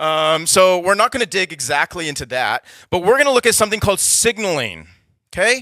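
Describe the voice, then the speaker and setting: Raising and projecting his voice, a man with an American accent speaks fairly quickly at a high pitch in a bright, sharp tone with very wide pitch swings, the sound dry and close with no echo. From United States. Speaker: startup accelerator workshop speaker. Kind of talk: workshop talk. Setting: stage with audience. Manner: casual, conversational.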